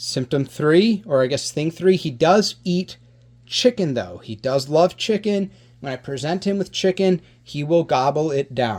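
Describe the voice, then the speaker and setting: On a very clean recording with a silent background, a man talks at a fairly slow pace. His fairly high voice has lively intonation. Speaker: reptile rescue youtuber. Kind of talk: educational vlog talking to camera. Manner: loud; animated, conversational.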